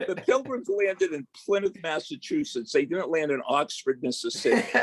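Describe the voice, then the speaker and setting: A man with an American accent speaks at a moderate pace. The sound is dry and close with no echo, though background noise is noticeable. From Boston. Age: 70s. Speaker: sports psychology professor. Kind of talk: casual interview.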